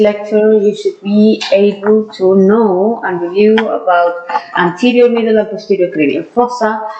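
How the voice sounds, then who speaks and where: With a strong non-native accent and fairly even intonation, a woman speaks amid audible room echo and noticeable background noise. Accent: strong foreign. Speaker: dentist and anatomy lecturer. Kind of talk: lecture. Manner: hesitant, with frequent fillers.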